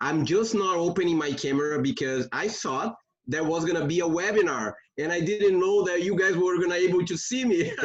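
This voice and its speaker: With a Brazilian Portuguese accent, a man speaks at a high pitch with lively intonation. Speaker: law graduate seeking legal work. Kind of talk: Q&A question on a video call. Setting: video call. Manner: halting.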